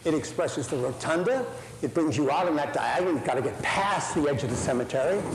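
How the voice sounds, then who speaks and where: With an American accent, a man speaks at fairly high pitch amid audible room echo and noticeable background noise. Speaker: architecture professor. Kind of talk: lecture. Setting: lecture hall with audience. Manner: animated.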